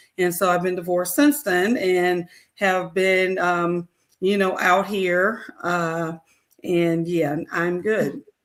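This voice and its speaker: A woman's fairly low voice with an American accent, very slow pace, ordinary pitch variation and very even loudness. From Chicago area, US Midwest. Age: 60s. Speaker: retiree, caseworker for homeless people. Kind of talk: personal testimony interview.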